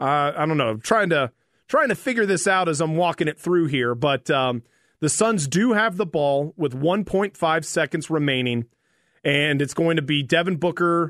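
The speaker has an unremarkable speaking voice with an American accent. The pace is fairly slow, and the intonation is lively. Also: man. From Flagstaff, Arizona. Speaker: fill-in sports radio host. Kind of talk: live sports commentary. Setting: radio studio.

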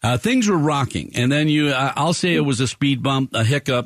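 A plain, everyday voice from a man, fairly high in pitch, with ordinary pitch variation and a moderate pace against a quiet background. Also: dry, close sound with no echo. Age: 60s. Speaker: radio sports show host. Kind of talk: live radio talk show. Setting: radio studio.

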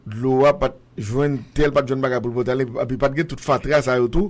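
A man with a plain, everyday voice speaks at a moderate pace, his pitch medium. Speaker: radio show host. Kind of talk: casual chat.

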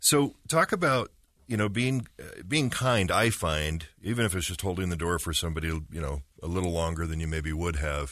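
A man with a very deep, low pitch speaks at a moderate pace with lively intonation. His tone is bright and sharp against a quiet background. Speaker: radio host. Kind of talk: radio interview.

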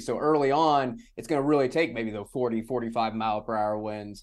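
With an American accent, a man in an unremarkable speaking voice talks at a fairly quick pace with medium pitch and fairly even intonation, recorded very cleanly against a silent background. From San Antonio, Texas. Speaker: meteorologist, podcast co-host. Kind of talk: interview.

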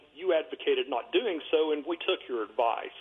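Lively in intonation and fairly quick in pace, this is an ordinary speaking voice. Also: man. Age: 50s. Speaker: caller. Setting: phone call.

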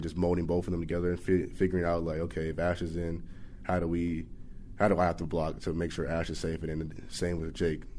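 In a very deep, low pitch, a man with an American accent speaks at a very fast pace with fairly even intonation. His tone is dark and mellow, and audible room echo surrounds him. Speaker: college football player. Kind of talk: interview.

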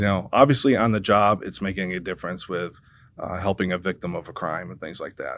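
Fairly quick and with an American accent, a man speaks in a plain, everyday voice. The recording is very clean with a silent background. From US Midwest. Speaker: police civilian investigator, retired police officer. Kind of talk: radio interview.

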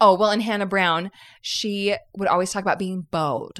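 Pitch varies in an ordinary way in this recording of a plain, everyday voice. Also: woman. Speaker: podcast host. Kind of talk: casual chat.

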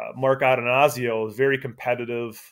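This man talks with an American accent. His intonation stays monotone and flat. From Wisconsin. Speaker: sports journalist. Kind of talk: casual interview. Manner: halting, many repeats.

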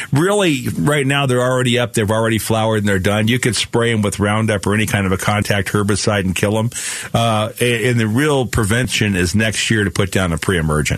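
In an ordinary speaking voice, a man with an American accent and a fairly low pitch talks at a fairly quick pace with hardly any pauses, very even loudness and ordinary pitch variation. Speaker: radio garden show host. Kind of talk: call-in radio show. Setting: studio. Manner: relaxed, uses many fillers.

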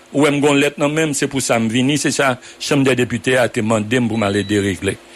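A man with ordinary pitch variation amid noticeable background noise. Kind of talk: radio political debate. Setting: studio. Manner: halting.

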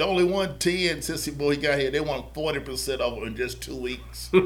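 A man speaks with a North Carolina accent. Room echo is audible. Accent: US Southern (North Carolina). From Charlotte, North Carolina. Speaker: youth basketball organization staff. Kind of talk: casual interview.

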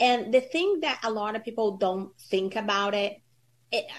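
A woman's normal speaking voice, a fairly high pitch with ordinary pitch variation, at a moderate pace. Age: 30s. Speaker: insurance agency founder. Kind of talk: interview.

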